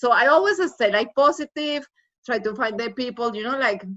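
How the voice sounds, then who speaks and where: Lively intonation at a fairly quick pace, in a Spanish accent. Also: woman. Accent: foreign accent, Spanish. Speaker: former college student. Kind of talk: casual chat.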